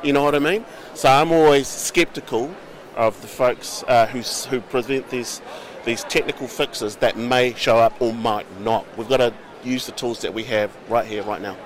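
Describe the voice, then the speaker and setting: Moderate pace, ordinary pitch variation and a New Zealand accent against noticeable background noise. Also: man, medium pitch for a man. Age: 50s. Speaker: politician. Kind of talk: interview.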